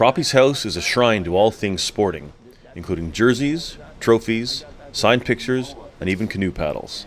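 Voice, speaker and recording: A man with an ordinary speaking voice and medium pitch talks at a moderate pace with lively intonation. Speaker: news reporter narrator. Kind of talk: news feature narration.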